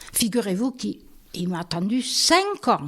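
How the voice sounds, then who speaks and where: Here a woman speaks at a fairly slow pace. Her pitch swings very widely. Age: 80s+. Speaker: retired bank employee. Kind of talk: interview answer. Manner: casual, chatty.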